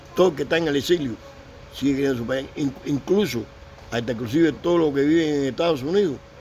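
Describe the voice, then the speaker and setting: Over music in the background, a man with a fairly high voice talks at a very fast pace with ordinary pitch variation. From Cuba. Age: 70s. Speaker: Cuban war veteran. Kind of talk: interview. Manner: halting.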